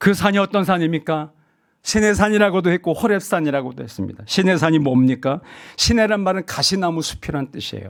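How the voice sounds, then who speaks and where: On a very clean recording with a silent background, a man with a high pitch talks fairly quickly with lively intonation. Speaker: pastor. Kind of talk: seminar lecture. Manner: fast.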